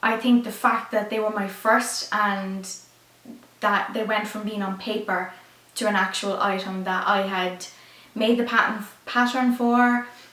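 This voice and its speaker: A woman with an Irish accent speaks at a fairly high pitch in a monotone, flat manner. Audible room echo and noticeable background noise fill the recording. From Ireland. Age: 20s. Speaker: YouTuber, fashion designer. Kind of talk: casual chat.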